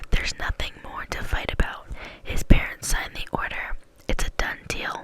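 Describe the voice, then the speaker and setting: A woman whispers with big swings in loudness. Noticeable background noise is present. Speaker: ASMR creator. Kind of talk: audiobook reading. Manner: soft-spoken, slow, soothing.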